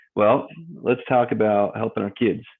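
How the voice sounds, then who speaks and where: A man speaks at a moderate pace in a fairly low voice with fairly even intonation, in a plain, everyday voice. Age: 40s. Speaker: mortgage broker. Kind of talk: casual talk to camera.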